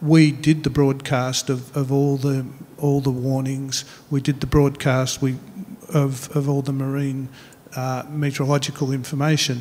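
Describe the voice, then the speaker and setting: The intonation is monotone and flat, in an Australian accent. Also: man, fairly high pitch for a man, moderate pace. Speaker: meteorology official. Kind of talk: panel discussion. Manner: halting.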